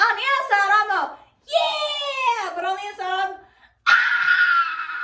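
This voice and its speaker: In a put-on character voice, a woman shouts at an extremely high, shrill pitch, with a very slow pace and a slight echo. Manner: loud, shrieking.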